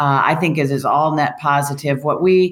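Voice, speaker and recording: A woman with an American accent speaks at a very deep, low pitch. The recording is very clean, with a silent background. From Michigan, US Midwest. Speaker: utility executive. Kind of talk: interview. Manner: frequent fillers and hesitations.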